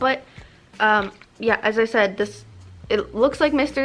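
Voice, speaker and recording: Her pitch fairly high, a woman speaks with ordinary pitch variation. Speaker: YouTuber doing product review. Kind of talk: casual product taste test vlog. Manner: somewhat halting, stumbling over words.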